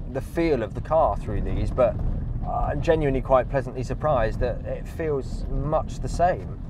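A man talks at a fairly quick pace with ordinary pitch variation. The sound is dry with no echo, and noticeable background noise comes through. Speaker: car reviewer. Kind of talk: casual driving review commentary. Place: car.

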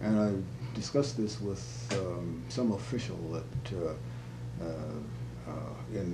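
Music in the background beneath a man's very deep, low voice. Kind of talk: interview answer. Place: home room.

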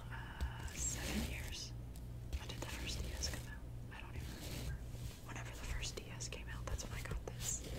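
The speaker talks at a moderate speed. The delivery is soft-spoken. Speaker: collection show-and-tell host. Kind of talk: casual show-and-tell chat. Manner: soft-spoken, hushed ASMR voice.

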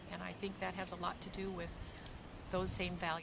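Medium female pitch, audible room echo and noticeable background noise. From California. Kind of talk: personal testimony. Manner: halting, many fillers.

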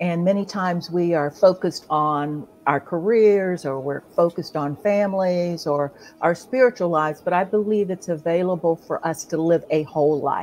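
A woman's fairly low voice with an American accent, ordinary pitch variation, and a moderate pace over light background noise. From Ohio, US Midwest. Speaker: author and coach. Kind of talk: casual chat. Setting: live stream. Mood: warm, grateful, animated. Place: home room. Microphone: video call.

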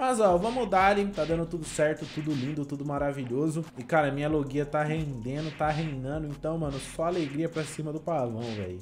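A man at a moderate pace with hardly any pauses, faint music in the background. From Brazil. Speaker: gaming YouTuber. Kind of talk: gameplay commentary. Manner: animated. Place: home room. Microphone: headset.

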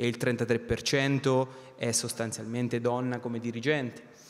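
A man's monotone, flat intonation. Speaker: company finance director; panelist. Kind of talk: panel discussion. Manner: halting, many repetitions; passionate. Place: stage. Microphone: handheld.

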